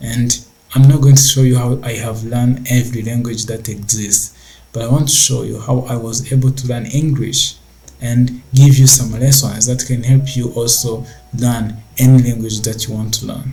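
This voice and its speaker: A man talks at a moderate pace in a non-native accent, his pitch medium. His tone is dark and mellow, a little breathy, with flat, monotone intonation. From Rwanda. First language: not English. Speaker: tech entrepreneur. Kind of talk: casual talk to camera.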